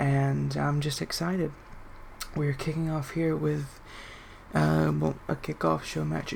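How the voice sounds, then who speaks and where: This speaker talks at a fairly slow pace. The voice is quiet. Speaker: video game wrestling commentator. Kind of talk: live commentary. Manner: laid back.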